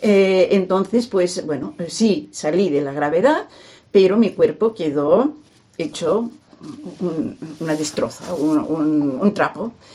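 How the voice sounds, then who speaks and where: A woman speaks at a very slow pace with very wide pitch swings. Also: medium pitch for a woman. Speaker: retired teacher and scholar of a saint. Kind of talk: radio interview. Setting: at her home.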